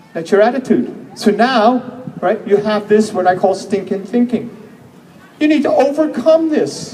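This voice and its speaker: With noticeable background noise behind him, a man with an animated tone and an extremely high pitch speaks at a moderate pace with ordinary pitch variation. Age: 60s. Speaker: health seminar speaker. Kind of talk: seminar talk.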